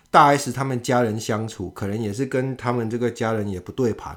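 A man speaks in a plain, everyday voice at a medium pitch and moderate pace, with ordinary pitch variation. It is a very clean recording with a silent background. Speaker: podcast host. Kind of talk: casual chat.

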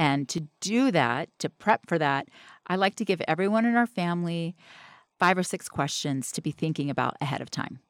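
A woman with an unremarkable speaking voice talks at a fairly low pitch and a moderate pace, with lively intonation. The recording is very clean with a silent background and a dry, close sound with no echo. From US South. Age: 50s. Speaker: memory expert, mother. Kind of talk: casual interview.

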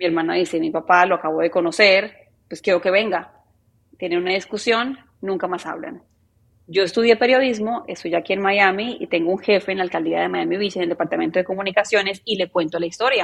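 Vocal fry marks a woman's medium-pitched voice, which has ordinary pitch variation. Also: fairly quick pace. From Colombia, Medellín. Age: 30s. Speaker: journalist. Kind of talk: interview conversation.

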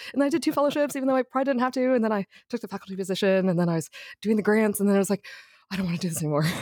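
Speaking at a very fast pace with lively intonation, a woman with an American accent is recorded with a dry, close sound and no echo. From Texas, Houston. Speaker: neurologist. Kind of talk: casual chat.

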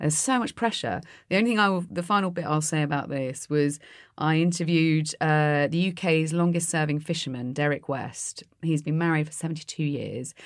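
Over a silent background on a very clean recording, a woman with a very deep, low pitch talks at a fairly quick pace with ordinary pitch variation. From Netherlands. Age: 40s. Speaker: activist, broadcaster and author. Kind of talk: casual chat.

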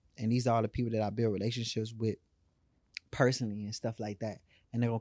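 A man with an American accent speaks very fast at medium pitch, with a dark, mellow tone and monotone, flat intonation. The sound is dry and close with no echo, over a quiet background. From Houston, Texas (Third Ward). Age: 30s. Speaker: fashion brand owner, entrepreneur. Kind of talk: casual interview chat.

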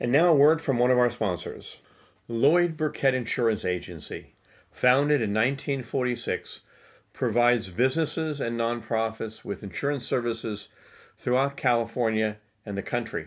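A man speaks in an ordinary speaking voice at a medium pitch, with ordinary pitch variation and a moderate pace. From United States. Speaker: podcast host. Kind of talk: interview.

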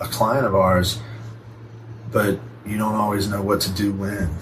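A man's fairly low voice at a moderate pace, with audible room echo and noticeable background noise. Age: 40s. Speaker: physical therapist. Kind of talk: casual chat.

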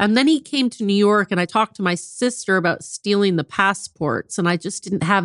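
A woman with an American accent has an unremarkable speaking voice at a medium pitch, with ordinary pitch variation and a moderate pace. The sound is dry and close with no echo, over a quiet background. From US Midwest, South Bend, Indiana. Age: 50s. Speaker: author. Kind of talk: interview, personal story.

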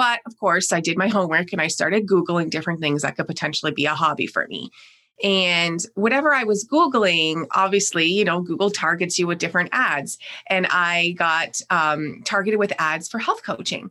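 A woman with a Canadian accent, her pitch fairly low, her tone bright and sharp, with ordinary pitch variation, in a very clean recording against a silent background. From Canada. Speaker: operations director and systems strategist. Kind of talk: casual interview. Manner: fast.

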